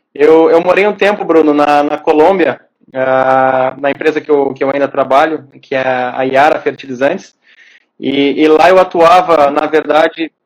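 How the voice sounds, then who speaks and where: Speaking at a moderate pace, a man with a plain, everyday voice has a fairly high pitch and fairly even intonation. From southern Brazil, Porto Alegre. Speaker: agronomist. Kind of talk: casual interview on a live stream.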